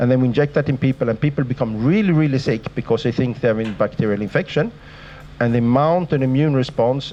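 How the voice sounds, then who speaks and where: At a very fast pace, a man speaks at a medium pitch with ordinary pitch variation. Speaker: sleep researcher, professor. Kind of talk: lecture. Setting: lecture hall with audience.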